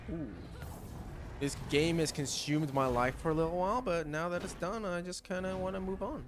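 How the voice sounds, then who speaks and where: With audible room echo, the speaker moves at a fairly quick pace and uses ordinary pitch variation. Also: man, high pitch for a man. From Australia. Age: 20s. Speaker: gaming streamer. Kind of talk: casual gameplay commentary. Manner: animated.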